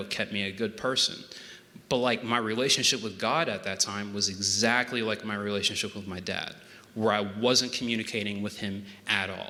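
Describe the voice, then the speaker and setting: A man with an American accent speaks at a moderate pace and fairly low pitch, with fairly even intonation and noticeable background noise. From Pennsylvania. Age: 20s. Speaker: web developer giving faith testimony. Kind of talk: testimony. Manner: monotone, dry.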